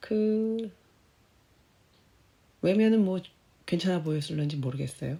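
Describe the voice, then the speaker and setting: The voice is somewhat breathy, with a dark, mellow tone and lively intonation. It moves at a fairly slow pace with long, frequent pauses. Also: woman, fairly low pitch for a woman. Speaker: cancer survivor. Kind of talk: personal essay narration.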